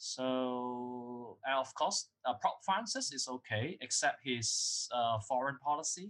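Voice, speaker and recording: Speaking very slowly with hardly any pauses, a man with a Cantonese accent keeps a medium pitch and ordinary pitch variation. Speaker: academic author and lecturer. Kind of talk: interview. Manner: halting. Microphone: poor recording quality.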